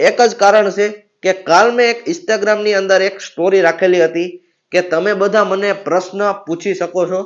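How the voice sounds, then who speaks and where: An animated man's voice, high-pitched for a man. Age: young. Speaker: YouTuber. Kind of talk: Q&A vlog, casual comedy.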